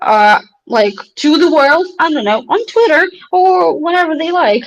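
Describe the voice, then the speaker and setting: A woman with a non-native accent, very wide pitch swings and a fairly slow pace. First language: not English. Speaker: company CEO. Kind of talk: interview on livestream. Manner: halting, many fillers.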